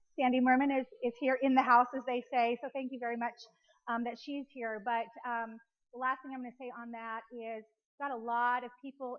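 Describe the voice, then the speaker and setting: This woman's voice sits high in pitch, with fairly even intonation. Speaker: speaker at a women's business luncheon. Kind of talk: luncheon presentation. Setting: restaurant with live audience. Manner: fast-talking.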